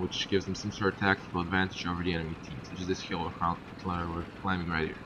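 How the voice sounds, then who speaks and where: A man talks very fast while noticeable background noise continues. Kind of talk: game tutorial commentary. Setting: low-quality microphone. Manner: casual.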